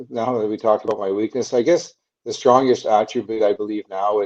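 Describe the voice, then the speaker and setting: A man mumbles at a medium pitch in a Canadian accent. His tone is dark and mellow. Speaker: former hockey player. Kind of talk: interview. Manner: mumbling.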